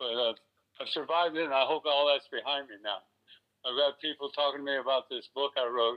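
A man with an American accent speaks in an unremarkable speaking voice, fairly high in pitch. His intonation is fairly even and his pace fairly quick. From US South, Florida (West Palm Beach). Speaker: retired stuntman and actor. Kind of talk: interview. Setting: phone call.

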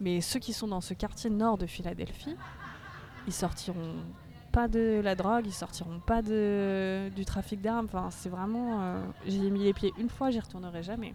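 A woman's dark, mellow tone at a fairly slow pace, with audible room echo and crowd noise in the background. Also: medium pitch for a woman. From France. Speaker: former au pair. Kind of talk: casual chat. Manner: animated.

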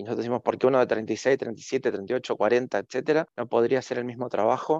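A man speaks in a plain, everyday voice at a medium pitch and a fairly quick pace. The sound is dry and close, with no echo. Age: 50s. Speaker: communications professional and university lecturer. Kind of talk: interview.

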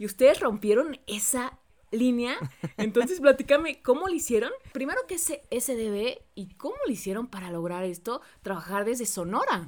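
A woman with a Mexican accent speaks at a high pitch, with very wide pitch swings and big swings in loudness. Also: moderate pace. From Mexico, Xalapa, Veracruz. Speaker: podcast host, voice-over announcer. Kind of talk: casual interview. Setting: video call.

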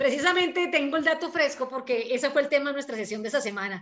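A woman's high-pitched voice at a very fast pace. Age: 50s. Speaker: podcast host. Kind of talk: interview.

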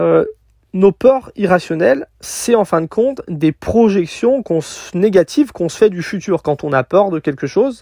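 A man with a high pitch and a dark, mellow tone talks at a fairly slow pace, his pitch swinging very widely. The sound is dry and close with no echo, in a very clean recording with a silent background. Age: 30s. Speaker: podcaster, van-life nomad. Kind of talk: solo podcast monologue. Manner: casual, with many fillers.

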